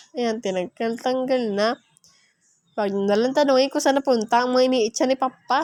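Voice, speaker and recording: In a Bisaya accent, a woman speaks with an animated tone and high pitch. Her pitch varies in an ordinary way, and the sound is dry and close with no echo. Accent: Bisaya-tinged Tagalog. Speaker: vlogger. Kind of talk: casual vlog narration. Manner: chatty, animated.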